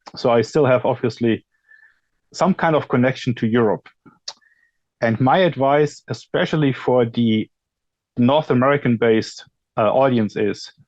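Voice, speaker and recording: Speaking in a German accent at a moderate pace, a man with a medium pitch uses ordinary pitch variation, very even loudness and long, frequent pauses, in a dry, close sound with no echo. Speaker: industry expert panelist. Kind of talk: panel discussion.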